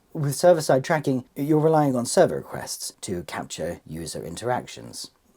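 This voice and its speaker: A man with a British accent speaks at a fairly quick pace. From Britain. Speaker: tech video presenter; presenter. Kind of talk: scripted explainer. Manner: playful, theatrical. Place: home room.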